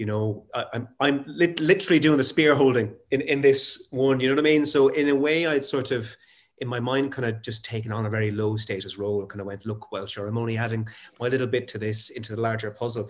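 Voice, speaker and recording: The speaker has an Irish accent. The pace is very fast. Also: man, medium pitch for a man, ordinary pitch variation. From Ireland, Waterford. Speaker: actor and interviewer. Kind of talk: casual chat. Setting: video call.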